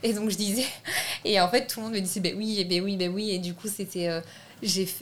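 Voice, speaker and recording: A woman's medium-pitched voice with ordinary pitch variation over noticeable background noise. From France. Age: 20s. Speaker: film director. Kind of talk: interview.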